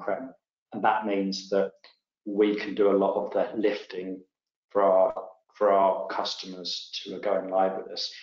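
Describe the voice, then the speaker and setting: A man speaks with an English accent, and a room echo can be heard. The background is quiet. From England. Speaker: tech company CEO; presenter. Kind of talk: webinar presentation. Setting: online webinar. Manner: halting, many fillers and repetitions. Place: home room. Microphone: webcam.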